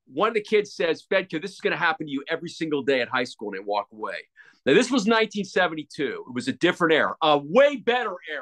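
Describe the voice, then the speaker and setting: In a dry, close recording with no echo, a man with an American accent talks at a very fast pace, his pitch swinging very widely. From Pennsylvania, US. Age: 60s. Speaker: retired sports anchor. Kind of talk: casual interview. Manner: halting, with many repetitions.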